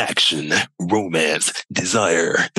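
A man puts on a dramatic character voice, pitched very deep and low. The sound is dry and close, with no echo. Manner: dramatic, announcer-like.

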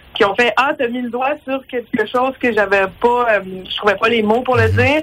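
Pitch rises and falls in an ordinary way at a medium tempo. Background noise is clearly audible. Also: woman. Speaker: stand-up comedian. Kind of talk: phone interview.

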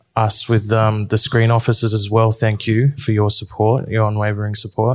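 This man speaks with an Australian accent at medium pitch. His pace is moderate. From Sydney, Australia. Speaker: film producer. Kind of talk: panel discussion. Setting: stage with audience.

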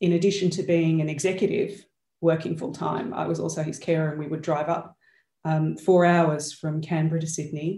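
A woman speaks in a dark, mellow tone with monotone, flat intonation and a moderate pace. Room echo is audible. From Australia. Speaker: change and accountability coach. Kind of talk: interview conversation. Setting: video call.

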